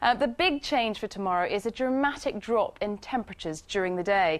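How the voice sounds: A woman talks at a moderate pace with a medium pitch. Her pitch variation is ordinary.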